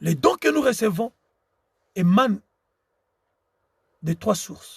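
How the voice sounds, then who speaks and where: Speaking at a very slow pace in a Congolese accent, a man uses a high pitch, the sound dry and close with no echo. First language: Tshiluba (speaking French). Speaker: preacher. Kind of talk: sermon. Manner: halting.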